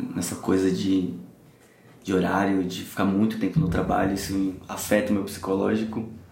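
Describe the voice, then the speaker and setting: A man's fairly low, monotone, flat voice at a moderate pace, with audible room echo. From São Paulo, Brazil. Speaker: guest sharing anxiety story. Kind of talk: casual interview chat.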